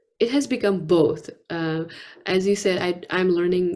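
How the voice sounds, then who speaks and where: A woman with a Nepali accent speaks in a fairly low pitch with a dark, mellow tone. Her pace is fairly slow and her intonation fairly even. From Nepal (Kathmandu). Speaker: poet and author. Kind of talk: interview.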